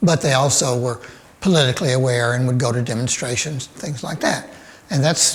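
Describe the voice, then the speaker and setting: With a Southern US accent, a man talks at a moderate pace and medium pitch with ordinary pitch variation over noticeable background noise. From Birmingham, Alabama. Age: 70s. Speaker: cartoonist. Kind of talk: interview answer. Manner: hesitant, thoughtful.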